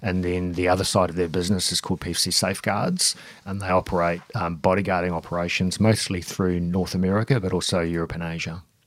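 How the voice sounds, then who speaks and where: Very deep and low, a man talks very fast in a New Zealand accent with hardly any pauses and monotone, flat intonation. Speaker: gym owner and security trainer. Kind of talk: interview. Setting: studio.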